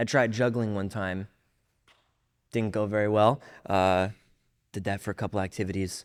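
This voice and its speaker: The man's voice is fairly low in pitch and moves at a moderate pace. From Orlando, Florida. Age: 20s. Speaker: magician and acting student. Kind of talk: casual chat.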